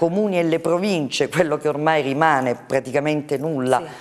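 The pace is fairly quick. The background is quiet. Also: woman. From Calabria, Italy. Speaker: politician. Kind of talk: TV interview. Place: studio.

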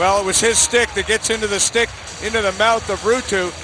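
A man's extremely high-pitched voice at a fairly quick pace, animated in tone, with noticeable background noise. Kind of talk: live commentary, game analysis. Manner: animated, fast, excitable analyst banter.

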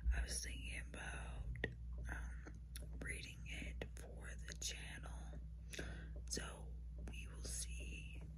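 Noticeable background noise sits behind a woman who talks at a very slow pace. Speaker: ASMR creator. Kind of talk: ASMR whisper ramble, casual talk to camera. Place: home room. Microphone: phone near.

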